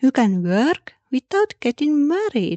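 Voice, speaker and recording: With a non-native accent, a woman speaks at a very slow pace in a high, dark and mellow voice with very wide pitch swings, the sound dry and close with no echo. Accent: non-native accent, self-noted. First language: Finnish. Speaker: podcast host. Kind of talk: history podcast narration.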